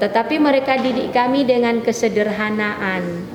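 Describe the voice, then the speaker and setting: Over noticeable background noise and audible room echo, a woman speaks with lively intonation at a fairly high pitch. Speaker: university lecturer. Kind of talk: motivational talk to students.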